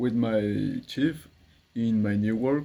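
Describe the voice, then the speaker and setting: With a Spanish accent, a man speaks at a very slow pace. His tone is dark and mellow. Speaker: English learner vlogger. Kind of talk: practice monologue. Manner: halting.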